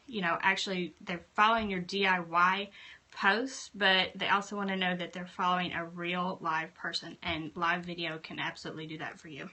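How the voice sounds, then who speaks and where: With a Southern US accent, a woman speaks at a moderate pace and medium pitch, her intonation monotone and flat while her loudness swings widely. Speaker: craft blogger and YouTuber. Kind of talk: live stream tutorial. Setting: home craft room.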